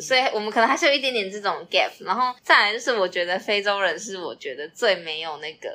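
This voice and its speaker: Fairly quick and lively, a woman speaks at a medium pitch in a bright, sharp tone, with big swings in loudness. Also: hardly any pauses. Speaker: podcast co-host. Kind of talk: casual chat. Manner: animated.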